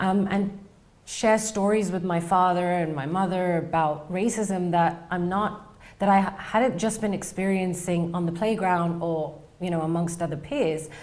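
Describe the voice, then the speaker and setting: Someone with a British accent speaks at a fairly slow pace with fairly even intonation. Room echo is audible. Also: woman, fairly low pitch for a woman. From England. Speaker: researcher, PhD candidate. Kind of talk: interview storytelling.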